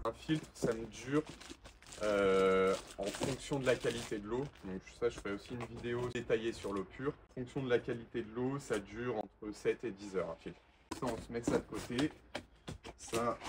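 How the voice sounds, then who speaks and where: With noticeable background noise around him, a man of medium pitch speaks in a relaxed tone at a moderate pace, his intonation fairly even and his pauses long and frequent. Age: 20s. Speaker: window cleaning entrepreneur and YouTuber. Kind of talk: unboxing video, casual talk to camera. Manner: relaxed, with filler hesitations.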